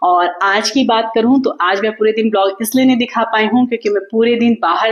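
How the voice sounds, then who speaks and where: A woman speaks at a moderate pace with ordinary pitch variation. Noticeable background noise runs under her voice. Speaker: vlogger. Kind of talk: casual vlog talk to viewers. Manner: loud, energetic even when tired; talkative, flowing.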